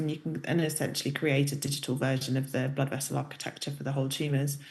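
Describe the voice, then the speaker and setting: A woman's voice sounds very deep and low, and somewhat breathy. Her intonation stays fairly even, with audible room echo. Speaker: professor. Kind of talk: lecture.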